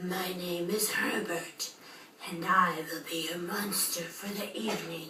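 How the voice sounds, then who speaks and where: Using a put-on character voice, a woman speaks raspy and breathy at a fairly slow pace, with clear background noise behind her. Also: fairly low pitch for a woman. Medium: read story.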